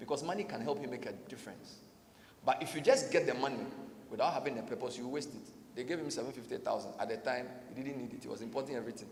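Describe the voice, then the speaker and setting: A man speaks at a very fast pace with an animated tone and medium pitch. Audible room echo and noticeable background noise surround him. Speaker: radio host and conference speaker. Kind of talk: motivational conference talk.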